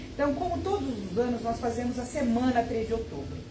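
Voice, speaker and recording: A woman's voice carries audible room echo amid noticeable background noise. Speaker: spiritist center volunteer. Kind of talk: announcement.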